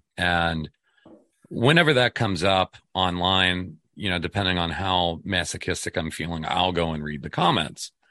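Very deep and low, a man's voice moves at a moderate pace with ordinary pitch variation. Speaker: radio host. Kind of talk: casual interview chat.

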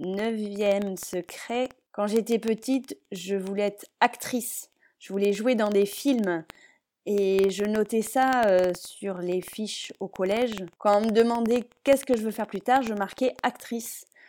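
Over a silent background on a very clean recording, a woman speaks at a very slow pace. Her pitch is fairly high, her tone dark and mellow, and her intonation fairly even. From western France and Paris region (Palaiseau). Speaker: parenting and games blogger. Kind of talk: casual solo podcast monologue.

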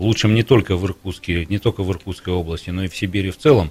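Very deep, low pitch from a man, with ordinary pitch variation. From Irkutsk, Siberia, Russia. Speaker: university rector. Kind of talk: radio talk show interview. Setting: radio studio.

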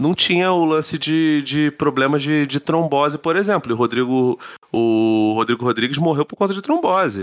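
Using an ordinary speaking voice, a man talks at a moderate pace, fairly high in pitch and with lively intonation. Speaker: podcast co-host. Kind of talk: casual chat.

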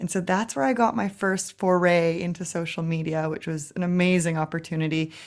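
A woman speaks in a Canadian accent at a moderate pace. She has an ordinary speaking voice with a fairly low pitch. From Canada, Vancouver. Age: 30s. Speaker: social media coach. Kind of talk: interview.

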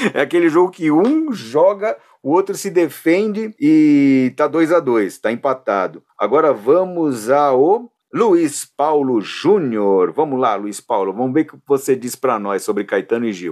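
A man's fairly high voice, fairly slow, with very wide pitch swings and hardly any pauses. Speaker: podcast host. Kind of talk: casual chat.

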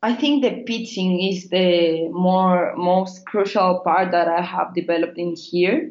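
Fairly slow, nearly pause-free speech in a Spanish accent, with ordinary pitch variation. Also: woman, medium pitch for a woman. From Chile. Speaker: biotech startup founder. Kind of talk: interview. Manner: halting.

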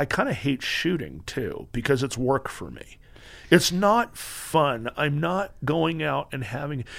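A man's fairly high, lively voice with vocal fry, an American accent and a fairly slow pace. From Southern California. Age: 50s. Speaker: retired police officer and firearms instructor. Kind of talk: casual interview chat. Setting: podcast studio.

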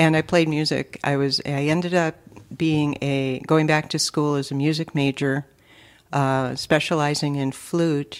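On a very clean recording with a silent background, a woman with a very deep, low pitch talks fairly slowly in a flat, monotone way. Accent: Upper Midwest. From Minnesota, Twin Cities east side. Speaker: state legislator. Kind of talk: casual interview.

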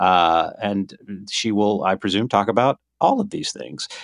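Against a quiet background, a man with an American accent uses a plain, everyday voice, speaking at a fairly slow pace with lively intonation. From South Carolina. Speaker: podcast co-host. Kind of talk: casual chat. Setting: phone call.

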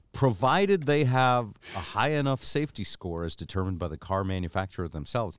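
A man talks at a fairly quick pace with very wide pitch swings. The recording is very clean, with a silent background. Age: 60s. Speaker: podcast host. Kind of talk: casual chat. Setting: studio.

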